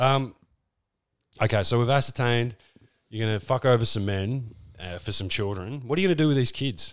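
A man with an Australian accent speaks at a fairly quick pace and a medium pitch, with ordinary pitch variation and long, frequent pauses. The recording is very clean with a silent background. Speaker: podcast host. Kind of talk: casual comedic chat. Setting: live in Newcastle, in person. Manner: joking, irreverent, profane.

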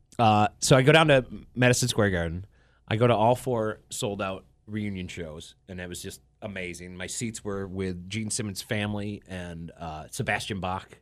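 Fairly low-pitched male voice with an American accent, big swings in loudness, ordinary pitch variation and a moderate pace over a quiet background. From upstate New York (Watertown, Syracuse area). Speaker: radio DJ. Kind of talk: casual chat. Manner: halting, repeats words.

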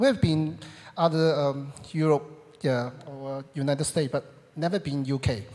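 A man with a Hong Kong accent, a fairly high, dark and mellow voice, fairly even intonation and a fairly slow pace. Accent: Hong Kong Cantonese-accented English. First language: Cantonese. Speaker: immigrant church member. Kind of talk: testimony. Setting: stage with audience. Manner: halting.

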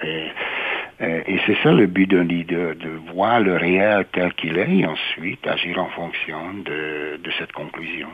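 Someone with a Hungarian accent speaks at a very slow pace with fairly even intonation, amid noticeable background noise. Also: man, very deep, low pitch for a man. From Hungary, Budapest. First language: Hungarian (speaking French). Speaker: university president. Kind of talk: interview. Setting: studio.

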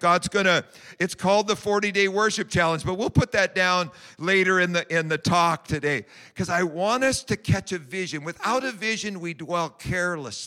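A man's raised, projected voice, high in pitch, with a bright, sharp tone and ordinary pitch variation. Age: 60s. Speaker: prayer pastor. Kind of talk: sermon.

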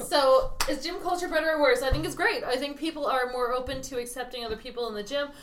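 A woman's high voice at a very fast pace with hardly any pauses and ordinary pitch variation, in audible room echo and noticeable background noise. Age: 30s. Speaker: podcast co-host. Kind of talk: casual chat.

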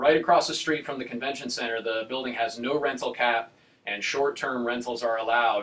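Noticeable background noise beneath a man's fairly even intonation. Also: medium pitch for a man. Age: 30s. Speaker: real estate agent. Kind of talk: casual chat.

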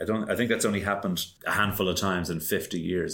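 A man with an Irish accent, fairly low in pitch, with fairly even intonation. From Ireland. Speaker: podcast co-host. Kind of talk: casual chat. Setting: video call.

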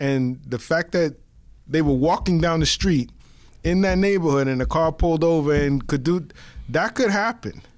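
Delivered with a New York accent, a man's fairly high voice keeps a moderate pace, ordinary pitch variation and very even loudness. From the Bronx, New York. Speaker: podcast co-host. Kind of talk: casual chat. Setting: studio.

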